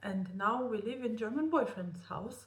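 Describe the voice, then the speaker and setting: Somewhat breathy and fairly high in pitch, a woman's voice comes through with audible room echo. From Romania. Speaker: vlogger. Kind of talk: personal vlog storytelling. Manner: halting.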